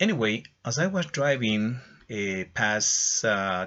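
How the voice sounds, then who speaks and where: With a Spanish accent, a man speaks at a medium pitch, his intonation lively. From Ecuador. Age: 60s. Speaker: English teacher. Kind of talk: testimony. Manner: halting.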